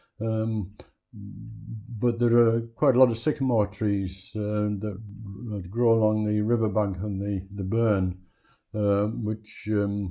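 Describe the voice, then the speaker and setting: Music in the background behind a man with a fairly low pitch, a monotone, flat intonation and a very slow pace. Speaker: beekeeper. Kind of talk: oral history interview answer. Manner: hesitant, conversational.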